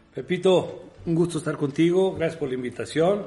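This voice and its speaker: This man talks at a fairly quick pace, his pitch moving in an ordinary way. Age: 50s. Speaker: football assistant coach. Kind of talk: interview.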